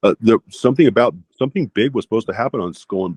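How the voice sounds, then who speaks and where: A man with an American accent speaks at a very fast clip. His pitch sits in the middle range, with ordinary rise and fall. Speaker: cult abuse survivor. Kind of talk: interview. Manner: loud.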